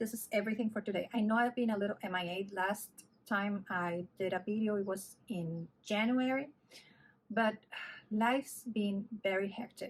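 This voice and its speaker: At a moderate pace, a woman with a somewhat breathy voice speaks at a medium pitch with ordinary pitch variation. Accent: Spanish. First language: Spanish. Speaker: knitting vlogger. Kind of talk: casual vlog chat. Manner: halting, with fillers.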